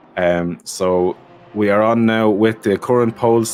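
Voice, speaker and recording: A man with an Irish accent, over noticeable background noise. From Ireland. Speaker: sim racing commentator. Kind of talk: live commentary. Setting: live stream. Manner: animated.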